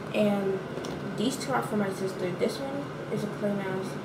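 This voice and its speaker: Loud background noise fills the recording. A woman is speaking. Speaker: beauty vlogger. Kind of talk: casual vlog chat. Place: bathroom. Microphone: phone near.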